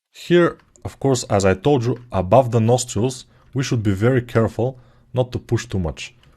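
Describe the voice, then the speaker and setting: A man with a non-native accent speaks at medium pitch with ordinary pitch variation. His tone is dark and mellow, and somewhat breathy. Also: moderate pace, quiet background. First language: not English. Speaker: sculpting tutor. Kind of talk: tutorial. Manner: casual, hesitant with fillers.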